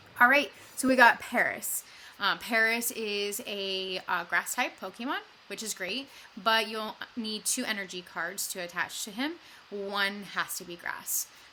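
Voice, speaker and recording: A woman with a fairly high pitch speaks at a fairly slow pace, showing ordinary pitch variation and big swings in loudness. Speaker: gaming YouTuber. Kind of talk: gameplay commentary. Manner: hesitant, many fillers.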